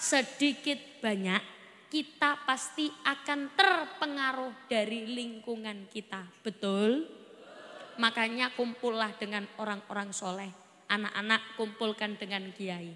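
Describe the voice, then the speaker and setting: A woman's fairly high voice at a very slow pace, over noticeable background noise. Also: lively intonation. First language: Javanese (speaking Indonesian). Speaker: Islamic preacher. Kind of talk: sermon. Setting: stage with audience.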